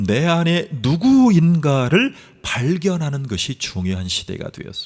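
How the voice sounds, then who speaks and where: A man's fairly high voice at a fairly slow pace. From South Korea, Gunsan (North Jeolla). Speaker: pastor. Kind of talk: sermon.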